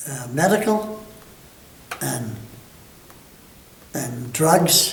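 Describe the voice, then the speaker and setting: In an American accent, a man speaks with lively intonation amid audible room echo and noticeable background noise. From Michigan. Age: 90s. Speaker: war veteran. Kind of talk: oral history interview. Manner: halting.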